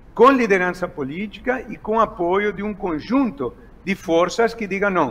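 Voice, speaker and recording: Speaking at a fairly slow pace, a man delivers his words with lively intonation. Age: 60s. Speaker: economist. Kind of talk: interview. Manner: halting, many fillers.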